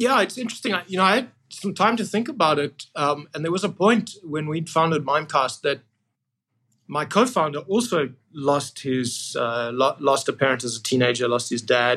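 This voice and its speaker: The man's voice is fairly high and has a bright, sharp tone. He moves at a moderate pace with very wide pitch swings. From South Africa, Cape Town. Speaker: tech company CEO. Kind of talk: interview.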